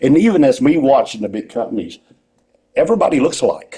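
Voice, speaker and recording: At a fairly quick pace, a man talks in a Southern US accent. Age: 60s. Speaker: retired pro wrestler and wrestling school owner. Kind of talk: interview. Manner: rambling, animated.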